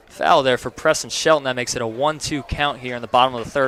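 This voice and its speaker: A man with an American accent speaks in a plain, everyday voice with fairly even intonation. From North Carolina coast. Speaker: baseball play-by-play announcer. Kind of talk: live sports commentary with interview. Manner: conversational, casual.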